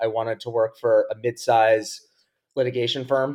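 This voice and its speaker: In an ordinary speaking voice, a man with an American accent talks at a moderate pace, with medium pitch and ordinary pitch variation. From US Northeast (Long Island, New York). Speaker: investor and professor. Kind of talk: casual interview.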